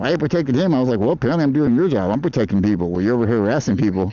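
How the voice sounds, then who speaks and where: The man's delivery is very fast. His intonation stays lively. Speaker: food delivery rider and livestreamer. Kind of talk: live stream while riding. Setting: outdoors on an e-bike in traffic.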